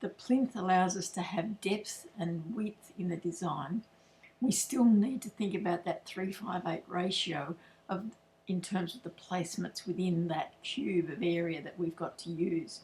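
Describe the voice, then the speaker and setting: A woman with an Australian accent, medium in pitch, speaking fairly slowly with ordinary pitch variation. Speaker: floral designer. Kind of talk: tutorial. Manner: loud, projecting. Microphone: no microphone, computer's built-in mic.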